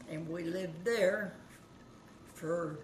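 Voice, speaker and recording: Someone with an American accent speaks at a very slow pace, with ordinary pitch variation. The recording has audible room echo and noticeable background noise. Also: woman. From Kansas. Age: 90s. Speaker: grandmother recalling the Great Depression. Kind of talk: oral history interview.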